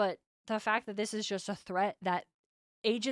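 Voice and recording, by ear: Someone is reading aloud in a natural voice, with fairly even intonation and a quiet background.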